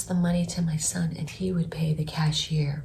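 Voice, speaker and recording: A quiet woman's voice, fairly low in pitch, with audible room echo and noticeable background noise. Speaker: vlogger, aspiring public speaker. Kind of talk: personal testimony vlog. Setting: at home early morning.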